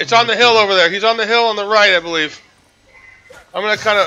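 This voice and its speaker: A man speaks in a raised, projected voice at a high pitch. He goes at a very fast pace. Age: 40s. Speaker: gaming streamer. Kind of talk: live gameplay commentary. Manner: animated.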